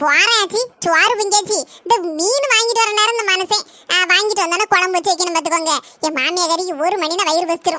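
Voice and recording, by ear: A woman speaks in a cartoonish character voice at an extremely high pitch, with ordinary pitch variation. Her loudness stays very even, and her pace is moderate.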